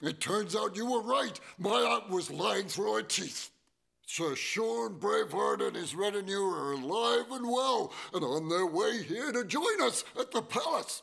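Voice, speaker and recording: A cartoonish character voice with a warm tone. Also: man, high pitch for a man, moderate pace. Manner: chuckling, warm.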